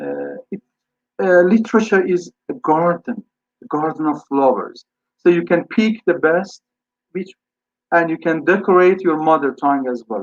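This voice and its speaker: With a Persian accent and a high pitch, a man speaks at a fairly slow pace with long, frequent pauses and lively intonation, in a dry, close sound with no echo. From Iran. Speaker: English teacher and scholar. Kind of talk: webinar Q&A answer.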